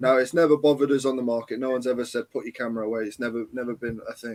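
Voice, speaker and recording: Speaking very fast, a man uses a medium pitch in an East Midlands accent. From England, Leicester (East Midlands). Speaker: live streamer and photography auditor. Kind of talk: casual chat. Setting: live video chat stream.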